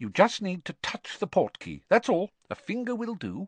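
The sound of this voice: In a put-on character voice, a man pitched high with a slightly husky edge makes big pitch swings at a moderate pace, the sound dry and close with no echo.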